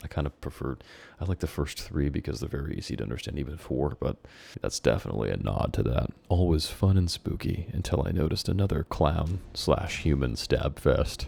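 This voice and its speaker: The quiet, strained voice has a dark, mellow tone with vocal fry. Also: man. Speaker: YouTuber reading his childhood stories. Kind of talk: reading aloud with commentary. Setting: at home, roommate sleeping nearby. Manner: quiet, restrained.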